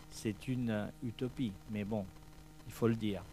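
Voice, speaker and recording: A man speaks at a moderate pace. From Spain. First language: Spanish (speaking French). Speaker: event organizer. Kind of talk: press presentation speech. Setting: hotel press conference. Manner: halting, many hesitations.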